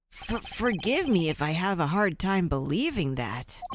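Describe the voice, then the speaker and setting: A woman's put-on character voice at medium pitch, moderate in pace, with very wide pitch swings. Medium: game stream. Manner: nervous, stammering.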